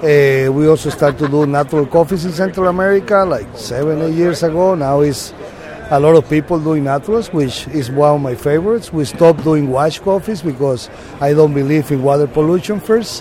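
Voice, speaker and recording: With a Spanish accent and a fairly high pitch, a man talks at a fairly quick pace with ordinary pitch variation over noticeable background noise. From Panama, Boquete. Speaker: coffee farmer. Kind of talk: interview. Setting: expo booth.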